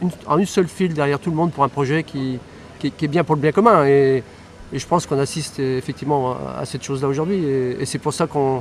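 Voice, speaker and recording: Over noticeable background noise, a man speaks at a very fast pace in a fairly high pitch, with ordinary pitch variation. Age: 60s. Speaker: triathlon club co-president. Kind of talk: interview. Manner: hesitant, repeats words.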